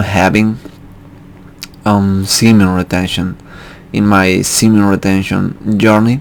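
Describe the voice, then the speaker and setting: A man talks with an Argentine accent at a fairly low pitch. His delivery is very slow and monotone, with flat intonation. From Argentina, Buenos Aires. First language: Spanish. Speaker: spiritual vlogger. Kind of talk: personal storytelling monologue. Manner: halting, many fillers.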